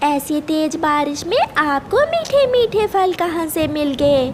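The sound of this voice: In a cartoonish character voice, a woman speaks slowly and high with big pitch swings over faint background noise.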